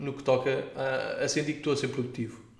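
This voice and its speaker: A man at a moderate pace with monotone, flat intonation, in audible room echo. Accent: European Portuguese. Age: 20s. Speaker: podcast host. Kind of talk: solo monologue podcast.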